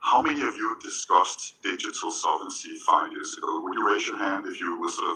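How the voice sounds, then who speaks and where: Speaking at a fairly quick pace with a Danish accent, a man is heard with audible room echo. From Denmark. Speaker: panelist, tech industry executive and former diplomat. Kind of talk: panel discussion. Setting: stage with audience. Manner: conversational, with frequent fillers and repetitions.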